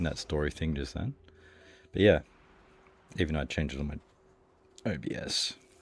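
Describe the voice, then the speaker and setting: In an Australian accent, a man with a very deep, low pitch talks at a fairly quick pace with ordinary pitch variation. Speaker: video game streamer. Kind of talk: casual chat while gaming. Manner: casual, hesitant with many fillers. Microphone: new mic stand, mic at proper distance.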